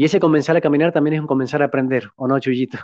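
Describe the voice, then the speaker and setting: A man speaks at a fairly high pitch with ordinary pitch variation, his voice dry with no echo against a quiet background. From Argentina. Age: 30s. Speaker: podcast guest. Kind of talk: interview. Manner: halting. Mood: warm, smiling. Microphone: studio mic.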